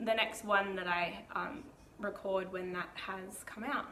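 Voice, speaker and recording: A woman at a medium pitch is heard with noticeable background noise and audible room echo. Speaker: knitting podcaster. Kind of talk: casual video podcast talk. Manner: rambling, many filler ums.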